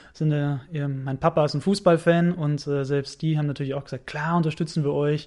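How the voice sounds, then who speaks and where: A man's fairly high voice at a moderate pace against a quiet background. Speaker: radio sports commentator. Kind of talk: casual chat. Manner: animated.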